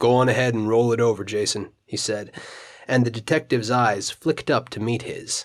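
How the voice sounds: Delivered in a natural reading voice, the intonation is fairly even.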